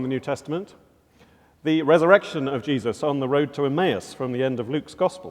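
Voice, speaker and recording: A man with a British accent speaks at a fairly quick pace. His pitch is fairly high, with ordinary variation. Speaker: professor and chapel speaker. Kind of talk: chapel talk; scripture reading. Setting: college chapel with audience.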